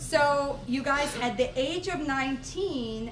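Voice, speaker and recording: Noticeable background noise and audible room echo accompany a woman talking in an animated tone. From Russia. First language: Russian. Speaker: network marketing speaker. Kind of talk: sales pitch. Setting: stage with audience.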